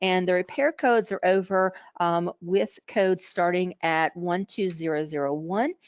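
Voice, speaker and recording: With an ordinary speaking voice, the speaker goes at a moderate pace with ordinary pitch variation, recorded dry and close with no echo over a quiet background. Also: woman, medium pitch for a woman. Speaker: coding trainer and webinar presenter. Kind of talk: webinar lecture. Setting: online webinar.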